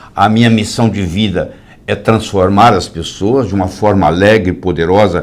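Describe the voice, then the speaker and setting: A man speaks at a moderate pace with a fairly low pitch and fairly even intonation. Noticeable background noise runs underneath. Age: 70s. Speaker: medical doctor. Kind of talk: live interview. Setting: live stream.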